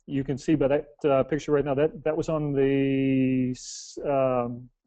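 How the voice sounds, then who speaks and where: His voice sits fairly high. The man has an American accent. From United States. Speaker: real estate developer presenter. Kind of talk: webinar presentation. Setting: online webinar call. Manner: halting, many repeated words.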